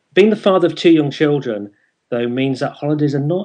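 A man with a northern English accent speaks with ordinary pitch variation. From northern England. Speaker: internet radio show host. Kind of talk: interview.

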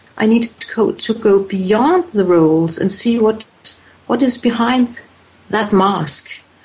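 Noticeable background noise runs behind this woman's fairly high voice. She speaks at a fairly slow pace with ordinary pitch variation. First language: not English. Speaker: author, voice coach and healer. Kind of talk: interview. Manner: hesitant, repeating words.

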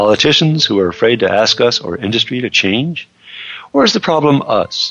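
With music in the background, a man's speech moves at a moderate pace. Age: 70s. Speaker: radio co-host. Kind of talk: radio show introduction.

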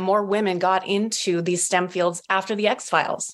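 With an American accent, a woman speaks in an unremarkable speaking voice at a medium pitch and moderate pace, her intonation fairly even, on a very clean recording with a silent background. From northern Minnesota. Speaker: author. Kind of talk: casual chat.

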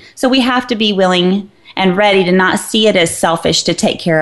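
Talking fairly quickly, a woman has a normal speaking voice and ordinary pitch variation. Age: 40s. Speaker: fitness trainer and health writer. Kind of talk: casual chat. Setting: studio.

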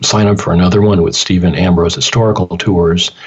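A man speaks in an American accent. Noticeable background noise is present. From Michigan, Detroit. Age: 60s. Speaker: radio host. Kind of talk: radio interview. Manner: halting, many fillers.

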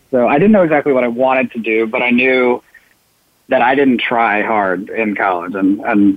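At a moderate pace, a man talks in a normal speaking voice at a medium pitch with fairly even intonation. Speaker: consultant. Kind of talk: casual interview chat.

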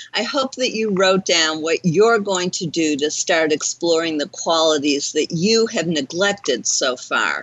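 The pace here is fairly slow, with lively intonation. It is a normal speaking voice. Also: woman, fairly low pitch for a woman. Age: 60s. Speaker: talk radio host, life coach. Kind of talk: radio show hosting. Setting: internet radio studio.

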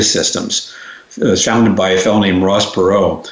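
Speaking at a very fast pace, a man is heard with noticeable background noise and audible room echo. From New York, Long Island. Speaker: educator and consultant. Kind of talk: interview.

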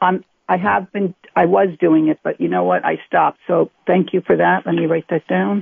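Talking at a moderate pace with hardly any pauses, a woman speaks with an American accent. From US Northeast, New Jersey. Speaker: caller. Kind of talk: phone-in question. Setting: phone call. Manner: halting.

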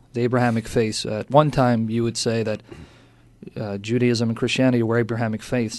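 In an American accent, a man speaks fairly quickly in a normal speaking voice, medium-pitched with fairly even intonation. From United States. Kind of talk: radio interview.

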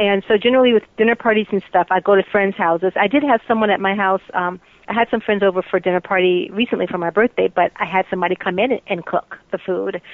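A woman talks at a very fast pace. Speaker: soap opera actress. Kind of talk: casual interview.

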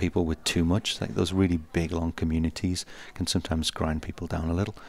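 A man with a British accent speaks at a fairly quick pace with fairly even intonation and a very deep, low pitch. The recording is very clean, with a silent background. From UK. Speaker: tech company executive. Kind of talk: interview. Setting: conference floor, live radio broadcast.

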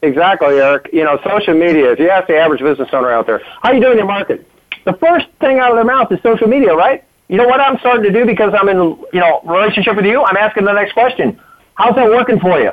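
A man's high-pitched voice at a very fast pace, with very wide pitch swings and very even loudness. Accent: American. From Washington, D.C. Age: 60s. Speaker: co-host. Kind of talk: casual interview.

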